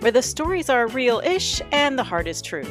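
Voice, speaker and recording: The speaker is a woman. Behind her voice, music can be heard. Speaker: radio show host. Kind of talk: radio show intro. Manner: folksy, playful, humorous.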